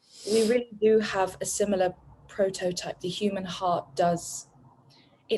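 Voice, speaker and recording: A woman with a medium pitch talks at a moderate pace as music plays in the background. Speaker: coaching program graduate. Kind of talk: interview. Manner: halting.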